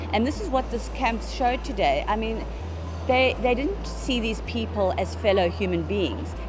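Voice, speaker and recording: Noticeable background noise and room echo around a woman talking at a moderate speed. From South Africa. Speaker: journalist. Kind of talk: personal interview. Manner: halting.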